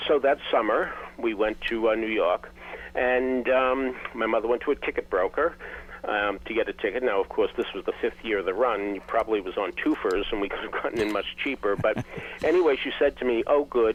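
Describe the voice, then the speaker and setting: A man with a Boston accent talks at a fairly quick pace. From Boston, US New England. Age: 70s. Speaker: theater critic and author. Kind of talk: interview storytelling.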